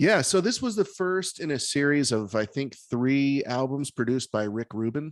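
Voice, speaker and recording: Fairly high in pitch, a man speaks in a normal speaking voice with lively intonation at a moderate pace and hardly any pauses. The sound is dry and close with no echo, over a quiet background. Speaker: podcast host. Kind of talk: casual chat. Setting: video call.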